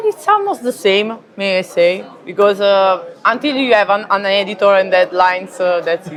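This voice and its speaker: With an Italian accent, a woman speaks over noticeable background noise. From Italy. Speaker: comic book artist. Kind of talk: interview. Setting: convention. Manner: halting, many fillers.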